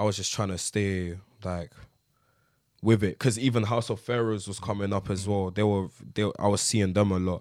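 A man with a South London accent and fairly low pitch speaks at a moderate pace in a flat monotone, leaving long, frequent pauses. The recording is very clean, with a silent background. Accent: South London (multicultural London English). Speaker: rapper and producer. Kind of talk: casual interview chat.

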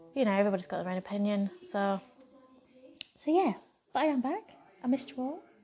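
Talking at a very fast pace, a woman uses a fairly high pitch, a dark, mellow tone and very wide pitch swings, with long, frequent pauses. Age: 30s. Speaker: podcast host. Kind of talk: casual monologue. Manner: rambling.

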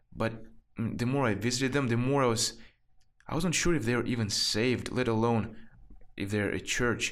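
Medium pitch from a man, moderate pace, fairly even intonation, and room echo that can be heard. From Central Asia. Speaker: former church elder. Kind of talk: interview. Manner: halting.

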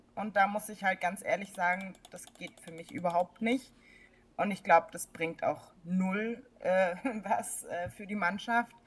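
A somewhat breathy woman's voice at a fairly slow pace, with big swings in loudness. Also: medium pitch for a woman, ordinary pitch variation. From Baden-Württemberg, near Stuttgart. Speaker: football fan. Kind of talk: casual chat.

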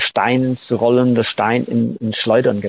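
A man's medium-pitched voice with an English accent, dry and close with no echo. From northern England, Manchester outskirts. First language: English (speaking German). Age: 60s. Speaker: punk-era music figure and producer. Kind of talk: interview. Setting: remote call. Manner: halting.

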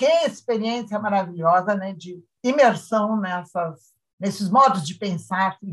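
A somewhat breathy woman at a medium pitch and fairly slow pace, with ordinary pitch variation and big swings in loudness. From Rio Grande do Sul, Brazil. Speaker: semiotics professor. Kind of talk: casual interview.

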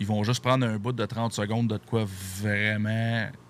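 Fairly low in pitch, a man speaks with a Quebec accent. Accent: Québécois French. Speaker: podcast host. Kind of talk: casual podcast chat. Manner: animated.

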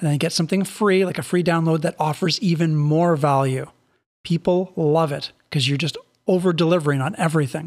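A man talks at a fairly quick pace with a fairly high pitch. The recording is very clean, with a silent background. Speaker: network marketing podcast host. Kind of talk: solo podcast monologue. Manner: animated.

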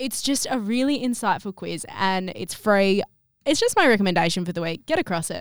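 In an Australian accent, a woman with a medium-pitched voice talks at a fairly quick pace with lively intonation, captured in a very clean recording with a silent background. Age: 20s. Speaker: podcast host. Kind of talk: casual chat.

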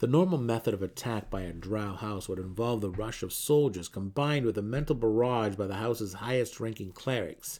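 The clip is a plain read-aloud passage.

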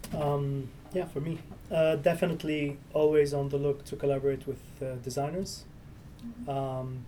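This man has a fairly high pitch, a dark, mellow tone and a somewhat breathy sound, speaking at a moderate pace with a non-native accent. Room echo is audible. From Syria. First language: Arabic. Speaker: entrepreneur. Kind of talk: interview. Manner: halting.

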